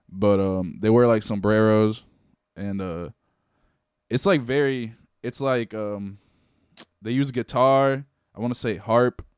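On a very clean recording with a silent background, a man at medium pitch talks at a fairly slow pace with long, frequent pauses and ordinary pitch variation. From Venezuela, raised in Connecticut from age eight. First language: Spanish. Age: 20s. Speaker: rapper. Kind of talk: casual chat. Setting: studio.

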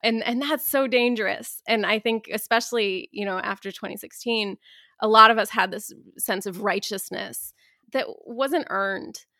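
With a Midwestern accent, a woman speaks in a fairly high pitch with a bright, sharp tone and ordinary pitch variation on a very clean recording over a silent background. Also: moderate pace. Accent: General American (Midwest). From US Midwest, Dayton, Ohio. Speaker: author and activist. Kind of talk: interview conversation.

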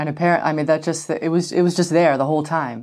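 An American accent at a fairly quick pace, on a very clean recording with a silent background. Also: woman. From United States. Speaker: parent. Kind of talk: casual chat.

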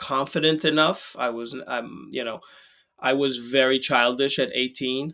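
Heard in a very clean recording with a silent background, a man with a normal speaking voice and an American accent talks at a fairly slow pace, at a medium pitch with ordinary pitch variation. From Israel and US, grew up in both. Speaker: activist, writer and neuroscientist. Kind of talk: interview conversation.

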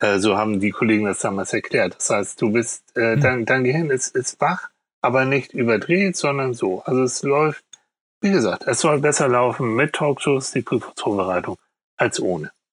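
A man with an ordinary speaking voice at medium pitch, with lively intonation and very even loudness, in a dry, close sound with no echo. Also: moderate pace. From Hamburg, northern Germany. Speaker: psychologist and TV therapist. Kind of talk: casual interview.

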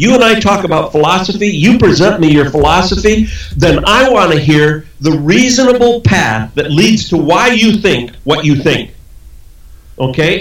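Amid noticeable background noise, a man with a high voice talks at a moderate pace with very wide pitch swings. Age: 70s. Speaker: motivational speaker and author. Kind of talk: interview conversation.

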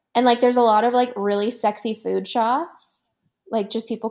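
A woman with a Canadian accent at fairly high pitch and moderate pace, on a very clean recording with a silent background. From Canada. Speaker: film festival guest reviewer. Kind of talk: casual chat. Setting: studio. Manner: animated.

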